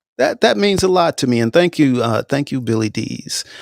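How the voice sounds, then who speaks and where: In a dry, close recording with no echo, a man with an American accent talks at a moderate pace using lively intonation. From New York. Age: 60s. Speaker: podcast host. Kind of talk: live audio show chat. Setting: live audio room with audience. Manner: halting, repeats words.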